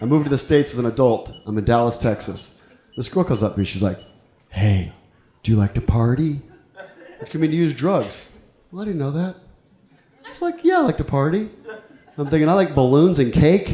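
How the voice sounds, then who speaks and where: Over noticeable background noise, the voice swings very widely in pitch at a fairly quick pace, broken by long, frequent pauses. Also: man, fairly high pitch for a man. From Ecuador and El Salvador. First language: Spanish. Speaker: stand-up comedian. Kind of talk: stand-up. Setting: stage with audience.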